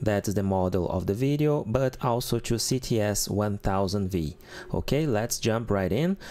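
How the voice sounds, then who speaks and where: At a moderate pace, a man speaks with a Portuguese accent. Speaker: keyboard tutor. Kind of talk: tutorial. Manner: casual.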